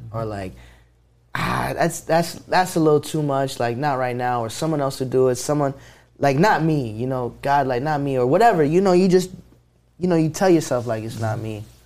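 With lively intonation and a fairly high pitch, a man talks at a moderate pace in a plain, everyday voice. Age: 20s. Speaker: rap artist. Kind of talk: casual chat.

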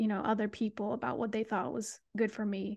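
In an American accent, the voice comes through against a quiet background. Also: woman. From US West, Sacramento area, California. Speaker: DJ and media personality. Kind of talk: casual interview. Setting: video call.

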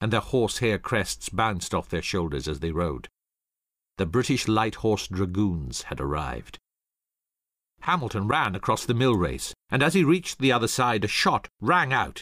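On a very clean recording with a silent background, a man with a fairly low pitch and vocal fry speaks at a moderate pace, his pitch swinging very widely. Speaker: audiobook narrator. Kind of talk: dramatic narration of history, with character voices. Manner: tense, urgent storytelling with pace rising in action scenes; changes voice for quoted officers, curt and stern for Hamilton.

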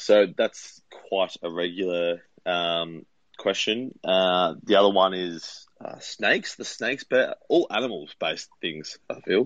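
This man speaks very slowly with an Australian accent. He hardly pauses at all. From Melbourne, Australia. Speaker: police officer. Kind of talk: casual interview chat.

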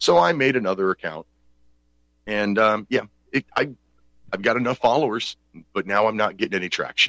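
Speaking at a fairly quick pace with an American accent, a man has a bright, sharp tone in a dry, close sound with no echo. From Pennsylvania. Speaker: talk radio host. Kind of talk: call-in talk show. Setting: home studio. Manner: animated.

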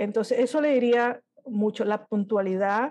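A woman speaks at a very slow pace in a dark, mellow tone with fairly even intonation. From Miami, raised by Peruvian parents from age 8. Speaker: illustrator. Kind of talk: interview. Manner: halting, many repeated words.

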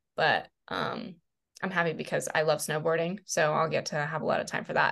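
With a normal speaking voice, a woman talks at a fairly quick pace and fairly low pitch. The background is quiet. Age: 20s. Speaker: realtor and club manager. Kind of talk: casual chat.

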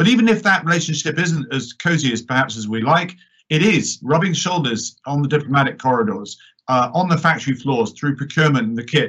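Speech comes at a fairly quick pace in an English accent. The intonation is lively. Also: man. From born in New York, British politician. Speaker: member of parliament. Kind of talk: panel discussion. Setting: online live-streamed event.

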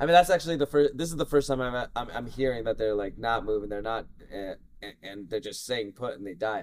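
A man with an American accent and a plain, everyday voice, medium in pitch, at a fairly quick pace with hardly any pauses, lively intonation and big swings in loudness. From Southern California, family from Russia. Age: 30s. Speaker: geneticist, researcher. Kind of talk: casual interview. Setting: conference.

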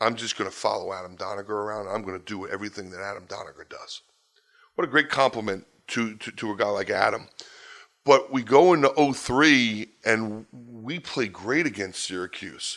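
On a very clean recording with a silent background, a man with a fairly low pitch and ordinary pitch variation speaks at a moderate pace, his loudness swinging widely. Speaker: college lacrosse coach. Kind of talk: interview storytelling.

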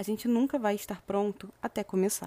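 Moderate pace and fairly even intonation, with a dry, close sound and no echo. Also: woman. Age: 20s. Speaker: podcast host, self-development. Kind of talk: reflective monologue.

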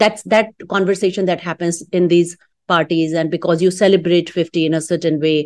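Against a quiet background, a woman with an ordinary speaking voice talks fairly quickly at a fairly low pitch with fairly even intonation. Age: 50s. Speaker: fintech entrepreneur. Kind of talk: casual interview.

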